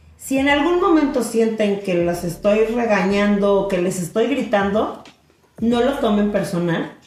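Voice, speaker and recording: Fairly slow delivery with lively intonation and very even loudness, plus noticeable background noise and audible room echo. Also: woman, medium pitch for a woman. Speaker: podcast co-host, teacher. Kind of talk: casual chat.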